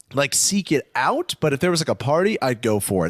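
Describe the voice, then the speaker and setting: A man with an American accent and a normal speaking voice, moderate pace and lively intonation, in a very clean recording with a silent background and a dry, close sound with no echo. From US West Coast, Los Angeles. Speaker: comedian. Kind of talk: casual chat.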